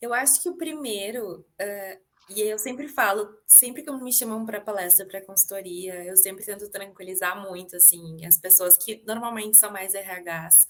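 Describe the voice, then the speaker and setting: In a southern Brazilian accent, the speaker goes at a moderate pace with ordinary pitch variation and hardly any pauses. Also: woman, medium pitch for a woman. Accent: gaúcho Brazilian Portuguese. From southern Brazil, Rio Grande do Sul. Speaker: public relations professional and diversity speaker. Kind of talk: podcast interview conversation.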